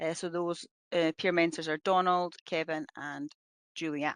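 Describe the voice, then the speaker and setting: In a Scottish accent, a woman speaks very slowly with a fairly low pitch and monotone, flat intonation, in a dry, close sound with no echo over a quiet background. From Scotland. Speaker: police officer. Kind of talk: webinar presentation. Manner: hesitant, many fillers.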